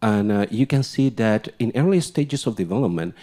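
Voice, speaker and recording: Dark, mellow tone with lively intonation at a moderate pace, in a very clean recording with a silent background. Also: man. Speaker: research scientist. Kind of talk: conference presentation. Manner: halting, with many fillers.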